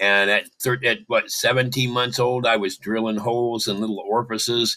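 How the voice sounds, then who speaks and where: In an American accent, a man speaks at a moderate pace with a medium pitch, a bright, sharp tone, and monotone, flat intonation. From Michigan, US Midwest. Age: 70s. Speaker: caller. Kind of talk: casual chat.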